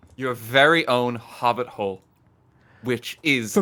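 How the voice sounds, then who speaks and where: A man's bright, sharp tone at a medium pitch, in an Irish accent. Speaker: gamer showing a build to co-players. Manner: casual, enthusiastic.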